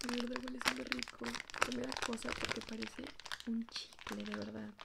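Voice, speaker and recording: A woman speaks at a moderate pace amid loud background noise. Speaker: ASMR creator. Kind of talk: ASMR slime unboxing, casual talk to camera. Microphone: phone near.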